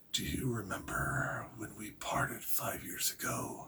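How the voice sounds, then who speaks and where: A man whispers in a wheezy, put-on character voice at a fairly slow pace. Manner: whispering, barely above a whisper.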